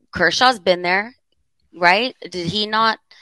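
This woman's voice has a bright, sharp tone. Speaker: podcast co-host. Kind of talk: casual chat. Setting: studio.

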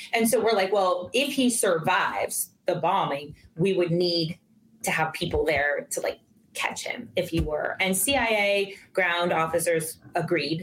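The speaker uses an ordinary speaking voice. The pace is fairly slow, with ordinary pitch variation. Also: woman, medium pitch for a woman. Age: 40s. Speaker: retired intelligence officer and professor. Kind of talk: interview storytelling.

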